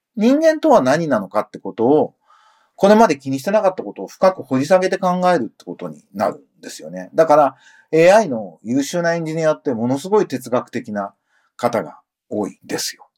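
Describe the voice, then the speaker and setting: A man speaks at a moderate pace with a fairly high pitch, his loudness rising and falling sharply. His pitch swings very widely, and the sound is dry and close with no echo. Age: 50s. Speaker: podcast host and music producer. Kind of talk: solo news commentary podcast. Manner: casual, conversational.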